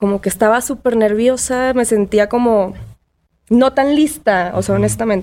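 A woman speaks at a fairly slow pace. Her voice is fairly high in pitch, with a dark, mellow tone. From Mexico, Tampico. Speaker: DJ. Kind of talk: casual chat.

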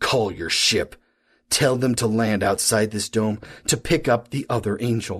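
Against a quiet background, a man speaks at a moderate pace and a medium pitch. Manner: cold, clipped, quietly menacing.

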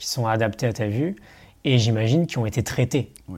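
A man speaks at a moderate pace with a medium pitch. His voice is somewhat breathy. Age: 30s. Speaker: online coach and entrepreneur. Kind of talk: casual interview. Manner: hesitant, with fillers.

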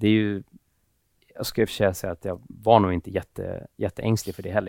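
In a dry, close recording with no echo, a man speaks with a fairly low pitch, a dark, mellow tone and monotone, flat intonation. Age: 30s. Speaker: tech entrepreneur. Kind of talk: casual interview. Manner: hesitant.

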